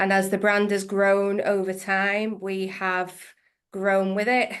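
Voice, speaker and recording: The intonation is monotone and flat, in an English accent, at a very slow pace. The background is quiet. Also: woman, medium pitch for a woman. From northwest England. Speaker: accounts payable manager. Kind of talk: interview.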